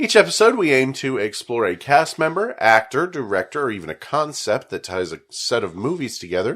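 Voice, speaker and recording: Vocal fry and very wide pitch swings mark this fairly quick delivery. The recording is very clean, with a silent background. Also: man, medium pitch for a man. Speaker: podcast host. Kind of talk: casual chat.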